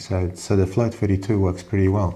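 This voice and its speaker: A man's very deep, low, somewhat breathy voice with monotone, flat intonation. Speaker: amateur radio operator. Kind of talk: tutorial.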